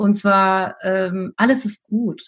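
Against a quiet background, a woman talks in a fairly high, somewhat breathy voice with fairly even intonation. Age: 50s. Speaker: teacher and deputy school head. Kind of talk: interview.

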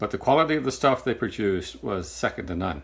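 The man's voice is fairly low in pitch and somewhat breathy. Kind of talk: tutorial. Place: workshop.

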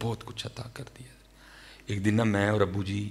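A man with a Pakistani Punjabi accent talks at a moderate pace. His fairly low voice stays in a monotone, flat intonation. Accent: Pakistani Punjabi-accented Urdu. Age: 30s. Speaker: Islamic preacher. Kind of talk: sermon. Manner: emotional. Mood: emotional personal storytelling. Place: hall. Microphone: studio mic.

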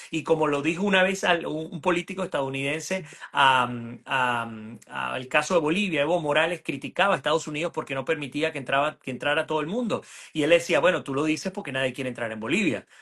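A man speaks at a fairly quick pace with a Venezuelan accent, his tone bright and sharp. His pitch is fairly high with ordinary variation, over a quiet background. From Venezuela (Puerto Ordaz). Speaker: journalist and political analyst; journalist, political analyst. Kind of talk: political interview. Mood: earnest, argumentative. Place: home room. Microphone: video call.

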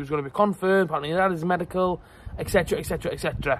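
Very fast and dry, with no echo, a man speaks in a high pitch with ordinary pitch variation. Light background noise can be heard. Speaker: football fan vlogger. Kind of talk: casual vlog chat. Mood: slightly embarrassed, frustrated. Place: garden. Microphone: phone near.

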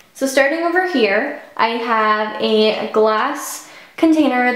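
A woman speaks with a high voice. Light background noise and audible room echo are present. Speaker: beauty vlogger. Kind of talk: casual vlog chat, home tour. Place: bathroom.

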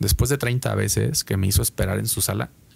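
This man's voice is fairly low, with vocal fry and very wide pitch swings. He moves at a moderate pace. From Mexico. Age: 30s. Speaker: concert promoter; podcast guest. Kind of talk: interview. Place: studio. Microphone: studio mic.

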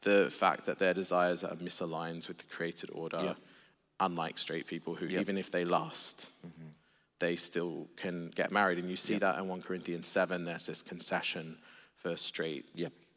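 Against a quiet background, a man with a very deep, low voice speaks at a moderate pace in a monotone, flat intonation. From Australia (Sydney); Australia. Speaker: theologian and preacher; preacher. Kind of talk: casual chat. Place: church. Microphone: headset.

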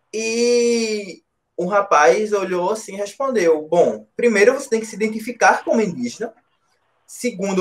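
The man's voice sits high in pitch, and his pace is moderate. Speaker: moderator and master's student. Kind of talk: interview discussion, podcast.

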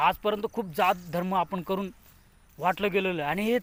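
Dry and close with no echo, a man speaks in a high pitch. His pitch varies in an ordinary way. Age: 30s. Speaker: political activist vlogger. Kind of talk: political speech. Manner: impassioned.

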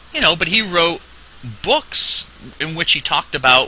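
Noticeable background noise surrounds a man with a high pitch and an American accent, speaking at a fairly slow pace. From New Jersey. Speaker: religious teacher. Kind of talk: lecture. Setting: classroom. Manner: halting.

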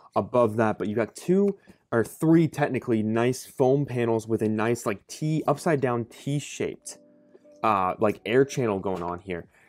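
Faint background music behind a man at a moderate pace. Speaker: bag reviewer. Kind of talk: casual product review. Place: home room.

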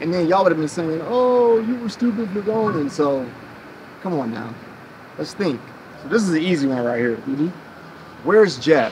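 A man with an American accent at a moderate pace, with very wide pitch swings, long, frequent pauses and light background noise. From US Midwest. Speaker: YouTube vlogger. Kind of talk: casual chat. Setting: recorded on location in Kenya. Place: garden.

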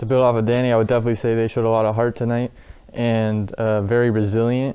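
A man talks at a fast pace with little pitch movement. His tone is clear and smooth. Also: medium pitch for a man.

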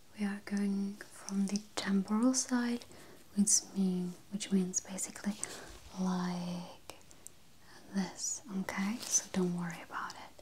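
A soft-spoken woman with a gentle tone, monotone, flat intonation, a very slow pace and long, frequent pauses, over light background noise. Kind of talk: soft-spoken role-play. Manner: soft-spoken, gentle, close to the mic. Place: home room.

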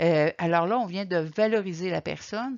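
A woman's voice with ordinary pitch variation over a quiet background. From Quebec. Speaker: caregiver support coordinator; presenter. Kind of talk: lecture. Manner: halting. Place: home room. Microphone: webcam.

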